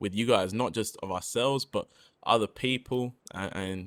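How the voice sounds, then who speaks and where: A man with an English accent speaks at a fairly slow pace, his pitch varying in an ordinary way. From England. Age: 20s. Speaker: rapper and podcast co-host. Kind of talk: casual chat.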